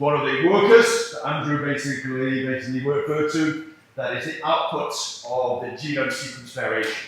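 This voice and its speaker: With a northern English accent, a man speaks at a fairly high pitch, amid audible room echo and noticeable background noise. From northern England. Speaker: scientist. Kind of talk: seminar presentation.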